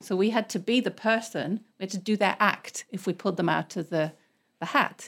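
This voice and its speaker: With a British accent, a woman talks at a fairly quick pace and medium pitch, with ordinary pitch variation. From England. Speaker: English teacher and comedian. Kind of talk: casual chat. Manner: laughs often.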